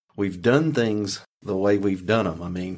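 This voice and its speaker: The speaker has a normal speaking voice with an American accent and fairly even intonation. The pace is fairly quick, and the recording is very clean with a silent background. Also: man. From rural North Carolina. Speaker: podcast host, county official. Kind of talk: podcast interview.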